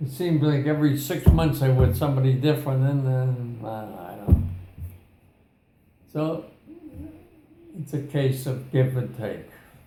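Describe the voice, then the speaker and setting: Over music in the background, a man at a medium pitch speaks at a fairly slow pace with ordinary pitch variation, big swings in loudness, and long, frequent pauses. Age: 80s+. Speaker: military veteran. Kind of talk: interview answer. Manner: hesitant, conversational.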